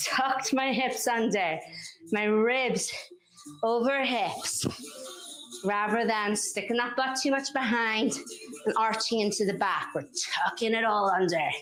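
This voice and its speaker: A woman with a Northern Irish accent speaks in an energetic tone at a fairly high pitch and a fairly slow pace, leaving long, frequent pauses. Her loudness stays very even, with music in the background and audible room echo. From Northern Ireland. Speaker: fitness instructor. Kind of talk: workout instruction. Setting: live-streamed workout. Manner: energetic, encouraging.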